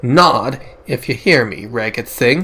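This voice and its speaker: A man speaks in a put-on character voice at a fairly slow pace. Hissing can be heard. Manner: hissing, menacing.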